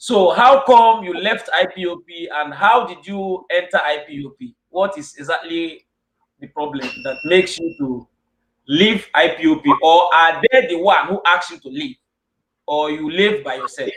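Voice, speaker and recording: In a Nigerian accent, a man with a high pitch speaks at a moderate pace, his intonation lively and his loudness swinging widely. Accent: Nigerian Igbo English. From Nigeria, Igbo land. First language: Igbo. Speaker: online show host. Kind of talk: interview.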